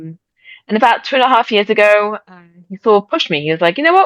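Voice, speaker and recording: A woman of medium pitch with an English accent, very fast and with very wide pitch swings. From England. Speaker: shop owner. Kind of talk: interview. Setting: video call.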